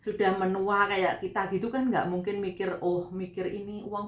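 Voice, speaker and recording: A woman's medium-pitched, monotone voice with flat intonation at a fairly quick pace, with audible room echo and noticeable background noise. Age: 40s. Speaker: vlogger, migrant domestic worker. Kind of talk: casual vlog talk. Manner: conversational.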